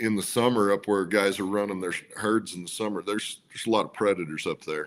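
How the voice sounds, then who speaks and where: Using an ordinary speaking voice, a man with an American accent talks at a fairly low pitch and a fairly quick pace. The recording is very clean, with a silent background. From Central Utah. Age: 50s. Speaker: trapper and auctioneer. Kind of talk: casual interview chat.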